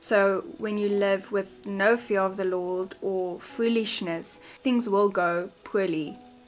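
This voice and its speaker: In a South African accent, a woman speaks at a very slow pace with a medium pitch and fairly even intonation as music plays in the background. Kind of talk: casual talk to camera.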